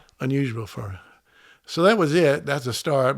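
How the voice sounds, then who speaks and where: A man is speaking. He has a Southern US accent. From US South, Memphis, Tennessee. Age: 70s. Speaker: podcast guest. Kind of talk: casual chat. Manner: halting.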